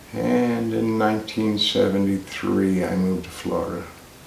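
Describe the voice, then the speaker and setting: Amid noticeable background noise and audible room echo, a man talks with an American accent. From US South (Kentucky, North Carolina) and New Jersey. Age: 70s. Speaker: retiree telling his life story. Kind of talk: oral history interview. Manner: casual, some hesitations.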